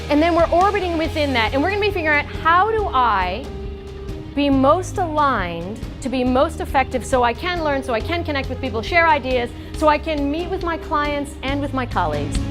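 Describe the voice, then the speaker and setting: A woman talks at a fairly quick pace while music plays behind her. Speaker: voice and communication coach. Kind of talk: keynote speech.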